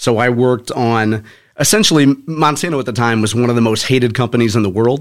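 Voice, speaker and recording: A man talks in a plain, everyday voice with an American accent. His medium pitch has ordinary variation, and his pace is fairly quick. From St. Louis area, Missouri (North County). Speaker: author and former corporate communications professional. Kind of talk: interview. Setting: studio.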